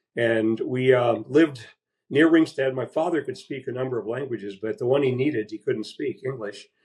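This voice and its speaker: This man's voice is somewhat breathy. He speaks at a medium pitch. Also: ordinary pitch variation, moderate pace. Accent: Midwestern US. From Iowa, Des Moines. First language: Latvian. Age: 70s. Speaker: baseball historian. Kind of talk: interview.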